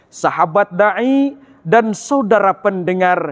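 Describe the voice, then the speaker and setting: A man drawls at a very slow pace while his pitch rises and falls very widely. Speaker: university student giving an Islamic sermon in a competition. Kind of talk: Islamic sermon (ceramah) competition speech.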